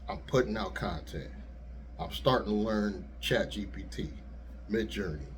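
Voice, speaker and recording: A man with a very deep, low pitch and vocal fry speaks at a moderate pace, his pitch swinging very widely. He leaves long, frequent pauses, and room echo is audible. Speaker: YouTuber and rideshare driver. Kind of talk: casual vlog monologue. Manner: soft-spoken; easygoing.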